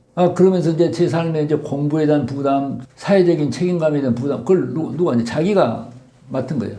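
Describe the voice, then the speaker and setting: Audible room echo surrounds a man's voice. His pitch is fairly high, with a dark, mellow tone. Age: 70s. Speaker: doctor and author. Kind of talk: interview testimony.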